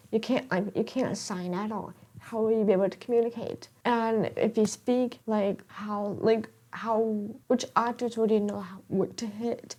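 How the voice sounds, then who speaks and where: A woman with a fairly high pitch and a dark, mellow tone speaks at a moderate pace in a monotone, flat intonation. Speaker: podcast host, deaf teacher-in-training. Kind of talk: casual monologue podcast. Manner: soft-spoken; many fillers, rambling.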